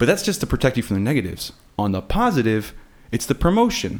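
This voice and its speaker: A man speaks with an American accent at a fairly quick pace. His pitch is medium, in an ordinary speaking voice. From South Florida and Texas. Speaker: podcast guest. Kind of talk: casual chat.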